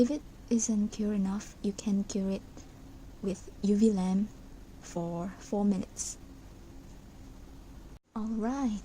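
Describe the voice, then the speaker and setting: A woman talks at a fairly slow pace in a fairly high pitch. Her intonation is fairly even, with long, frequent pauses. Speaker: craft tutorial maker. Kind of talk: craft tutorial narration.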